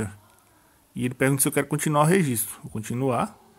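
This man's voice sits fairly high in pitch, moving at a very fast pace with ordinary pitch variation. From Brazil, northern Minas Gerais (Januária). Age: 30s. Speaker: YouTube tutorial creator. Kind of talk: tutorial. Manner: casual, chatty.

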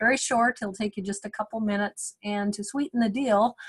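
The voice is somewhat breathy, with fairly even intonation. The sound is dry and close, with no echo. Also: woman. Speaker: webinar host. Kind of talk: webinar moderator introductions. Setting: video call webinar.

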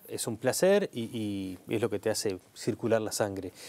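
With a Rioplatense accent, a man speaks in a dark, mellow tone at a fairly low pitch. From Uruguay. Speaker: TV interviewer. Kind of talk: interview. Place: studio. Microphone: lapel.

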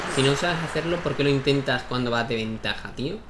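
Noticeable background noise and audible room echo surround a man's voice. He speaks at a fairly high pitch and a fairly quick pace, with ordinary pitch variation. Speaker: gaming YouTuber. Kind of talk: gameplay commentary. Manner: animated.

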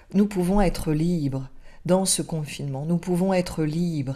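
A woman speaks at a fairly low pitch with a dark, mellow tone and lively intonation. The background is quiet. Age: 50s. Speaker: spiritual teacher. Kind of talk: spiritual teaching talk; casual teaching talk to camera. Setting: alone in front of a camera. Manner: halting, with repetitions. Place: home room. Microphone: webcam.

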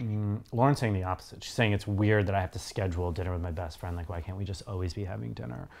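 Speaking at a very fast pace with hardly any pauses, a man uses a very deep, low pitch and lively intonation. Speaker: co-host of a TV reaction series; co-host reacting to show. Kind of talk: casual chat. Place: home room.

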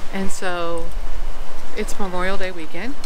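A man talking at a fairly slow pace amid noticeable background noise. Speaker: vlogger. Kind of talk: casual vlog chat. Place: open country. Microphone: phone near.

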